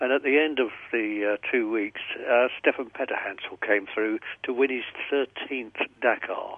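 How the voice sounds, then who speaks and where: With an unremarkable speaking voice, a man talks at a moderate pace and medium pitch, varying it in an ordinary way. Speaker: sports news presenter. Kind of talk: casual chat.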